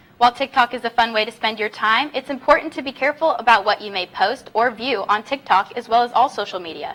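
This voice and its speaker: A woman speaks at a very fast pace and fairly high pitch, with hardly any pauses. Her intonation is lively, her loudness swings widely, and background noise is noticeable. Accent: American. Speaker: sports and news reporter, broadcast journalism student. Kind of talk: news anchor read.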